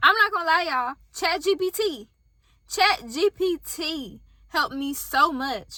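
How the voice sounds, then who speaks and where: In a raised, projected voice with a slight Southern US accent, a woman speaks at an extremely high pitch and a fairly slow pace. Her tone is bright and sharp, and her intonation is lively. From US South. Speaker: YouTuber starting a business. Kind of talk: casual vlog talk to camera. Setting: in a car.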